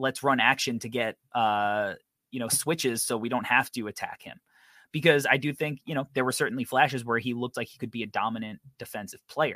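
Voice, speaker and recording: A man speaks fairly quickly at a medium pitch, his bright, sharp tone and fairly even intonation marked by big swings in loudness in a dry, close sound with no echo. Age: 30s. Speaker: basketball draft podcast host. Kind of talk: casual chat.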